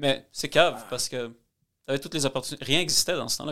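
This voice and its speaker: A man races through his words at a very fast pace, the recording very clean and the background silent. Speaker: mortgage broker. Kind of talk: casual chat.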